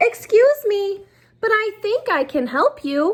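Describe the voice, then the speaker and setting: Putting on a character voice, a woman speaks fairly slowly in an extremely high, squeaky pitch with a gentle tone and very wide pitch swings. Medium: read story. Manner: gentle, kindly.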